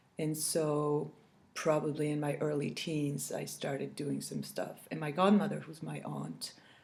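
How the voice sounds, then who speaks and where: A woman speaks at a fairly slow pace. Her voice carries audible room echo over noticeable background noise. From France. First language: French. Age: 40s. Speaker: cross-stitch video blogger. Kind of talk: casual chat. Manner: halting, many fillers.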